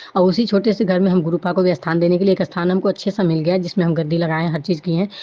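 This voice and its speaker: A woman's fairly low voice at a very fast pace. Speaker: devotee sharing testimony. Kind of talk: testimony. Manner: halting with fillers.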